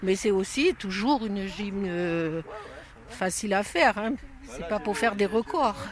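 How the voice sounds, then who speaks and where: Over noticeable background noise, a woman talks at a fairly slow pace in a medium pitch with ordinary pitch variation. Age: 70s. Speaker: workshop participant. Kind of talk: interview.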